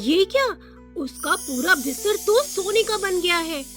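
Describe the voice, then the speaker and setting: There is music in the background. A woman speaks with very wide pitch swings. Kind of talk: children's cartoon story narration.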